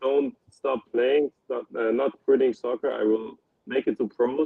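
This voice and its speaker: A man with a German accent speaks at a very slow pace. His pitch is medium, with ordinary pitch variation. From Germany, Ulm. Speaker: professional soccer player. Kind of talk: interview. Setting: live-streamed podcast. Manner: halting.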